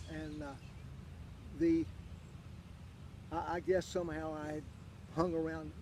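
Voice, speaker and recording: A man with an Appalachian accent at a fairly slow pace, with long, frequent pauses. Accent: Appalachian Southern US. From US South, southwestern Virginia (Wise County). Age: 80s+. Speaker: interviewee, local golf champion. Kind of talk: casual interview. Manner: halting, many fillers.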